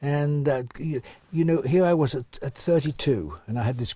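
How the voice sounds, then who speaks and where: A man's fairly high, somewhat breathy voice carries a dark, mellow tone, moving at a fairly quick pace with ordinary pitch variation. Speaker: retired racing driver. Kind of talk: interview answer.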